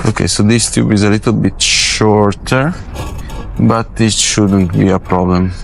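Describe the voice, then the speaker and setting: There is noticeable background noise behind a man speaking. He keeps a fairly slow pace, fairly even intonation and very even loudness. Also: fairly low pitch for a man. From Italy. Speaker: film grip. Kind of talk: tutorial. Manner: casual, halting.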